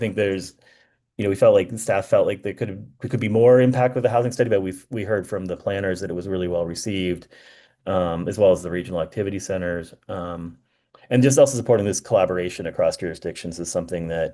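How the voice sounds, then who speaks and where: The background is quiet as a man speaks at a very fast pace. His pitch varies in an ordinary way. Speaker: consultant presenting strategic plan findings. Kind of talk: meeting presentation. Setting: committee meeting. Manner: hesitant, many fillers.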